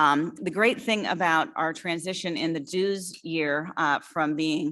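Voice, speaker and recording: A woman's very deep, low voice with ordinary pitch variation on a very clean recording with a silent background. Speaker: association executive director. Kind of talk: annual meeting report. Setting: live-streamed hybrid meeting. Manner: fast.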